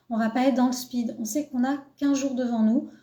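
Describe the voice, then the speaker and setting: A woman's high-pitched voice in a dark, mellow tone with fairly even intonation. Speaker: cat behaviour coach. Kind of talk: live stream talk.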